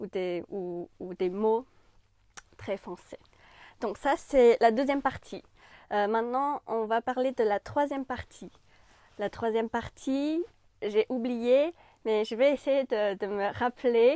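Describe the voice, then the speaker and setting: Very slowly and with long, frequent pauses, a woman speaks at a fairly high pitch with ordinary pitch variation and a dark, mellow tone, in a very clean recording with a silent background and a dry, close sound with no echo. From China. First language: Chinese (speaking French). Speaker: French language YouTuber. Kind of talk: channel introduction to camera. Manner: casual with frequent hesitations.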